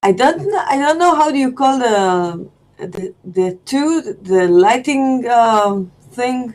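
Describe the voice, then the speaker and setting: In an Israeli accent, a woman speaks very slowly in a high voice that swings very widely in pitch. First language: Hebrew. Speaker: student. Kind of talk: casual lesson exchange. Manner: halting.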